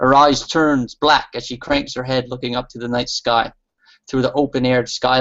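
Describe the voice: Plain reading aloud with fairly even intonation against a quiet background.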